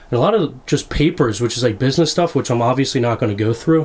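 A man talks at a fast pace, his pitch sitting in the medium range. His intonation is lively. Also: slightly mellow tone.

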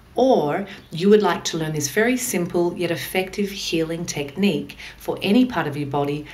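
At a moderate pace, a woman speaks with fairly low pitch and ordinary pitch variation. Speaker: instructor. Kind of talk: tutorial. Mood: calm, gentle. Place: home room.

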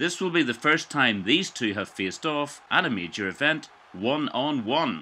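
Over a quiet background, a man with a bright, sharp tone and medium pitch talks at a moderate pace, his voice swinging very widely in pitch and showing vocal fry. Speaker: gaming commentator. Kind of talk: live commentary. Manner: clipped, staccato.

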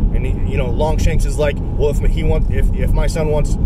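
The speech comes at a fairly quick pace in a dry sound with no echo. Loud background noise runs underneath. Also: man. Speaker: religious video blogger. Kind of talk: casual religious monologue. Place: car. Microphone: phone near.

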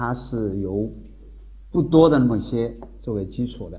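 Vocal fry runs through this man's fairly low voice, which has ordinary pitch variation. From Hubei, China. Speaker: university professor. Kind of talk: university lecture. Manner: casual, conversational. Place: classroom.

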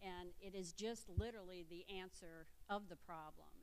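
An ordinary speaking voice belongs to this woman, whose pitch varies in an ordinary way. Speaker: nurse. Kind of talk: panel discussion. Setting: stage with audience.

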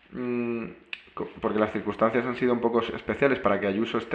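A man at medium pitch talks with a monotone, flat intonation. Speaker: program host. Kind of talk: interview conversation. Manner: halting.

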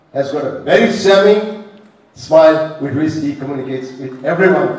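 A man talks at a moderate pace with ordinary pitch variation. Room echo is audible. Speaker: politician addressing a rally. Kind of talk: political speech. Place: hall.

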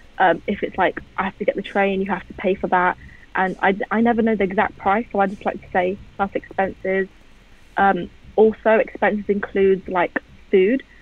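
A woman with a London accent, moderate in pace, monotone and flat, with big swings in loudness and a dry sound with no echo. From England. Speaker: music photographer; guest. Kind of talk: casual interview. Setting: video call. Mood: relaxed, conversational.

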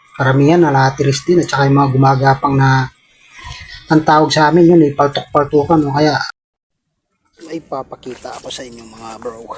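Fairly quick and with fairly even intonation, a man speaks in an ordinary speaking voice at a fairly high pitch, his loudness swinging widely. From Pampanga, Philippines. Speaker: vlogger. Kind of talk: casual vlog narration. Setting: outdoors.

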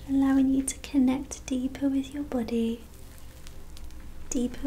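Over light background noise, a soft-spoken woman talks at a fairly slow pace, her pitch high and her tone soothing. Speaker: Reiki practitioner and ASMR creator. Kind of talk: ASMR reiki session, personal attention. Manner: soft-spoken, slow, soothing. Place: home room. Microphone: studio mic.

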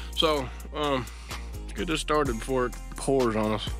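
With clear music playing behind him, a man talks in a dry sound with no echo. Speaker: vlogger. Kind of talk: casual vlog chat. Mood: upbeat, joking. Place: street. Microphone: phone near.

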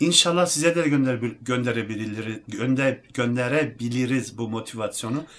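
A man speaks at a moderate pace and medium pitch, with ordinary pitch variation. He hardly pauses, over noticeable background noise. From Germany (Turkish heritage). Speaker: athlete and fitness YouTuber. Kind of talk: casual talk to camera.

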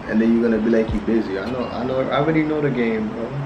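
The pitch moves in an ordinary way while music plays in the background. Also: man. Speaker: prank video creator. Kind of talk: casual phone call chat. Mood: playful, teasing. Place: home room.

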